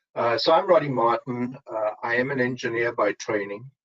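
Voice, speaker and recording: In a South African accent, a man speaks at a moderate pace. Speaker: engineer, supply chain strategist. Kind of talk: webinar panel discussion.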